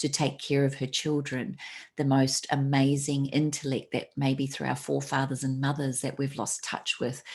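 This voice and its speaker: At a moderate pace, a woman speaks with a very deep, low pitch and monotone, flat intonation in a very clean recording with a silent background. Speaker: entrepreneur and author. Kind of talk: interview.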